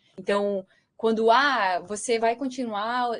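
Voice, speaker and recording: The voice shows ordinary pitch variation. The sound is dry and close, with no echo. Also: woman. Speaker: researcher. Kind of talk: lecture. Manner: halting.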